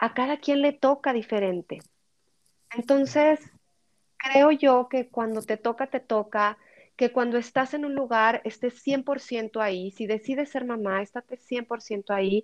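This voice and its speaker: A woman speaks in a high pitch at a fairly slow pace with ordinary pitch variation. The sound is dry and close with no echo, over a quiet background. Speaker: podcaster and personal development content creator. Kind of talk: interview. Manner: slow, measured.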